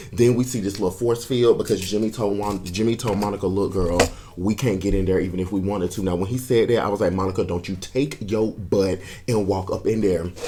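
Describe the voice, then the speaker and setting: A man speaks at a fairly quick pace in an animated tone over noticeable background noise. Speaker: video reviewer. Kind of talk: casual review talk. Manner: fast.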